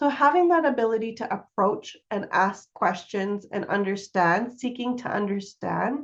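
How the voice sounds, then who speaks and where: Fairly slow, lively speech from a woman with a Canadian accent. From Calgary, western Canada. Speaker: workshop facilitator, consultant. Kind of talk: workshop presentation. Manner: slow with many pauses.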